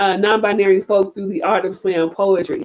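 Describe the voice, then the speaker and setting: This woman talks in an animated tone at a medium pitch. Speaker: slam poet. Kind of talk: talk to an online audience. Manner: loud.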